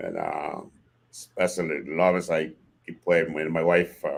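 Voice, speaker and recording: Fairly slow speech from a man with a Haitian accent and a very deep, low pitch. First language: Haitian Creole or French. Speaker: father of the host's guest. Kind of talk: podcast interview. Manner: halting.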